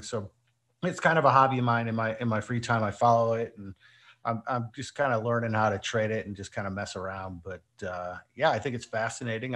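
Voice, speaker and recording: At a fairly quick pace, a man talks in a normal speaking voice at a medium pitch against a quiet background. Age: 40s. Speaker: esports team owner. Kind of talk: interview.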